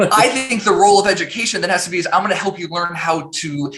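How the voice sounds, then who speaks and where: A man speaks in a raised, projected voice with ordinary pitch variation. Noticeable background noise runs underneath. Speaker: tech founder and CEO. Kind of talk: interview conversation.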